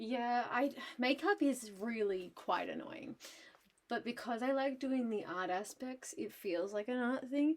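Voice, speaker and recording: A woman's high voice with lively intonation. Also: fairly slow pace. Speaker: art streamer. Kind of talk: casual chat while painting on livestream. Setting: livestream. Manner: loud.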